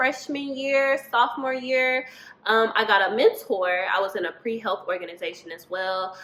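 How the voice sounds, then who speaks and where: A woman with an American accent speaks at a moderate pace and fairly high pitch, with ordinary pitch variation and noticeable background noise. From US Midwest, Indianapolis, Indiana. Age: 20s. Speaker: dental student. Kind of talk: interview answers. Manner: casual, many fillers.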